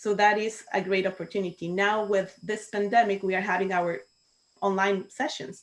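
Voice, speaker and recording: A woman with a Spanish accent talks at medium pitch and a moderate pace, keeping her intonation fairly even. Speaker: Toastmasters club co-founder. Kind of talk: panel discussion on video call.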